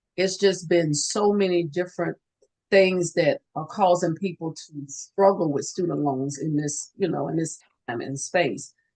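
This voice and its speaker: A woman with a plain, everyday voice speaks at a fairly low pitch and a fairly slow pace, with ordinary pitch variation. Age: 60s. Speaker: nurse and student loan advisor. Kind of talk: interview.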